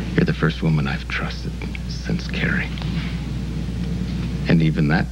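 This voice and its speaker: A man talks at a moderate pace while music plays behind him. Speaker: soap opera actor. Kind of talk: scripted drama dialogue. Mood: earnest, confessional, soft.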